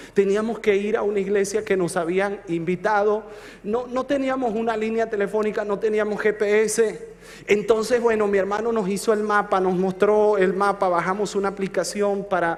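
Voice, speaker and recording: Amid noticeable background noise and audible room echo, a man speaks at a high pitch in a monotone, flat intonation. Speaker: pastor. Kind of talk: sermon. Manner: slow.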